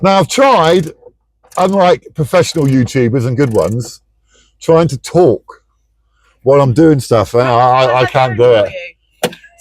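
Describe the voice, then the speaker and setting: Lively intonation at a fairly slow pace. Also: man, fairly high pitch for a man. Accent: British. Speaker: DIY car repair vlogger. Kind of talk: casual DIY tutorial. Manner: loud.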